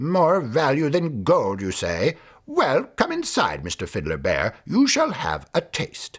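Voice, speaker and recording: A man growls in a put-on character voice at a fairly slow pace. The recording is very clean, with a silent background. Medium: read story.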